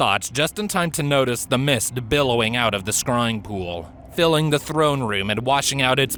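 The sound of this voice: An unforced reading voice is what the recording holds.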